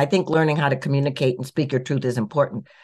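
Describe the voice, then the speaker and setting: With an American accent, a woman speaks at a very deep, low pitch. The background is quiet. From US Midwest, Minneapolis. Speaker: author and minister. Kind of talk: interview.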